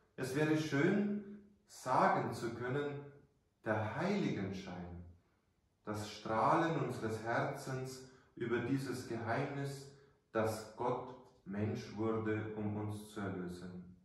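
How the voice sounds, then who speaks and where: A man speaks at a very slow pace, leaving long, frequent pauses. His intonation is lively, and strong room echo surrounds his voice. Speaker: priest. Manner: formal, measured, warm storytelling, earnest and didactic. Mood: calm, earnest. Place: church. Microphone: camera far.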